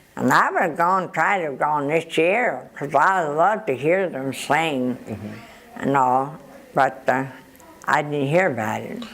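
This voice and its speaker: Over noticeable background noise, a woman talks at a fairly slow pace. Her very deep, low voice has lively intonation. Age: 80s+. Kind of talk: interview answer.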